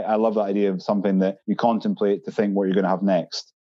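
Very fast and fairly low in pitch, a man talks with an Edinburgh accent. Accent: Scottish (Edinburgh). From Scotland, Edinburgh. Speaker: brewery employee. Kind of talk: casual chat.

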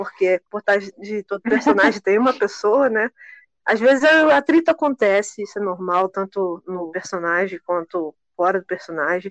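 Speaking at a moderate pace with lively intonation, a woman with a normal speaking voice and medium pitch comes across dry and close with no echo. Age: 20s. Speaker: computer science student. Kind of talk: casual chat.

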